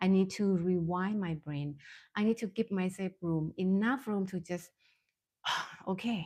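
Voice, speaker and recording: Her tone dark and mellow, a woman talks at a fairly slow pace and medium pitch with ordinary variation and long, frequent pauses, on a very clean recording with a silent background. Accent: non-native. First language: Thai. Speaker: mindfulness coach and therapist. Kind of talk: live-stream talk. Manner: halting, many fillers.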